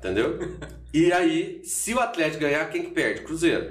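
A man at a moderate pace, with audible room echo. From Minas Gerais, Brazil (Borda da Mata). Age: 40s. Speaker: university professor. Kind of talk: casual chat. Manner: talkative.

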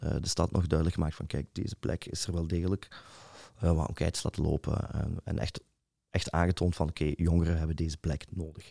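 Recorded very cleanly against a silent background, a man speaks with a very deep, low pitch, a dark, mellow tone and fairly even intonation, the sound dry and close with no echo. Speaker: DJ and nightlife organizer. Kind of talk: casual interview. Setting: studio.

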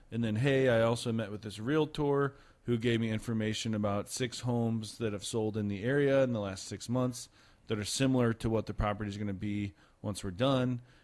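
With an American accent and a plain, everyday voice, a man speaks at a medium pitch and a moderate pace, his intonation fairly even. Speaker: real estate agent and podcast host. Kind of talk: casual podcast hosting. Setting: studio.

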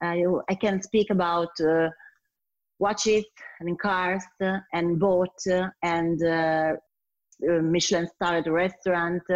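Speaking at a very slow pace with long, frequent pauses, a woman with an Italian accent uses a fairly low pitch, monotone, flat intonation and very even loudness, in a dry, close sound with no echo and a quiet background. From Italy, Turin. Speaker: sommelier and wine business founder. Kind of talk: interview. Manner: halting with many fillers.

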